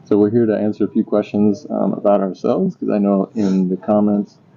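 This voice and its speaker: A flat, monotone delivery at a fairly quick pace. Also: man, hardly any pauses. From USA, moved around, long in the South. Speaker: vlogger, linguistics professor. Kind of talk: casual chat.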